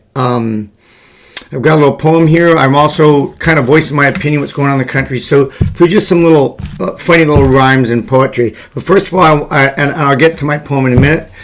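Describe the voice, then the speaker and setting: A man's fairly high voice at a very fast pace, with ordinary pitch variation, over noticeable background noise. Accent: American. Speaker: political commentator and poet. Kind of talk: political commentary vlog. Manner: halting, with fillers.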